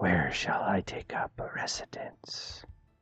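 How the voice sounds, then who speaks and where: A whispered put-on character voice at a fairly slow pace. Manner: quiet, reserved.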